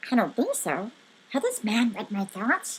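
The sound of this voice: In a put-on character voice, a woman speaks at a fairly slow pace with a fairly high pitch, very wide pitch swings, a fairly bright tone and a husky, rough edge.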